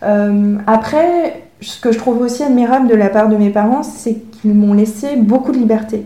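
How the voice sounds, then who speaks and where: Hardly pausing, a woman speaks at a fairly slow pace and a fairly high pitch, somewhat breathy, with ordinary pitch variation and audible room echo. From France (Paris), from age 6. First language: Chinese (speaking French). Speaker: author and illustrator, former engineer. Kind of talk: interview conversation.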